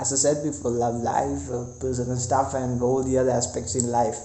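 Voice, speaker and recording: A man with a non-native accent and a medium pitch at a moderate pace, with noticeable background noise and audible room echo. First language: not English. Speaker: vlogger. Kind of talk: casual vlog monologue. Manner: halting, many fillers and repetitions.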